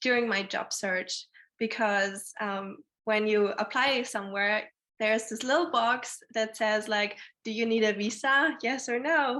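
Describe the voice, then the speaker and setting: With a German accent, a woman talks at a fairly slow pace in a fairly high pitch, her tone bright and sharp against a quiet background. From Germany. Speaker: alumna panelist. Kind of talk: panel discussion.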